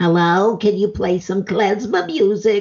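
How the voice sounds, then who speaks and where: Someone performs a put-on character voice at a middle pitch and a fairly slow pace. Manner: funny voice, comic.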